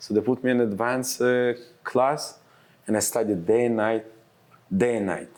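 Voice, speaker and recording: The speaker has an Israeli accent and fairly even intonation. The pace is moderate, broken by long, frequent pauses. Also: man, medium pitch for a man. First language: Hebrew. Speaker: real estate advisor. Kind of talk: casual interview.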